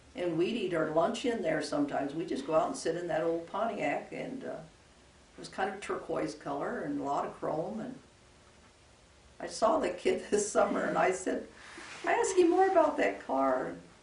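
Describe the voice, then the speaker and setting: A woman with an American accent talks at a moderate pace over noticeable background noise. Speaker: retired rural school teacher. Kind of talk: oral history interview answer.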